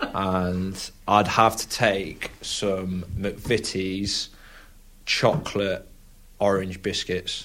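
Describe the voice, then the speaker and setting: A man's very deep, low voice, monotone and flat, at a very slow pace. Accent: Lincolnshire. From England (Lincolnshire). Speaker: professional rugby player. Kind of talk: casual chat.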